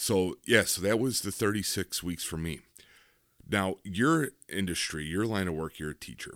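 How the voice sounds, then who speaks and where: In an ordinary speaking voice, a man talks at a moderate pace with fairly low pitch and lively intonation, on a very clean recording with a silent background and a dry, close sound with no echo. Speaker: podcast host. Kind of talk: casual chat. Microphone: new microphone.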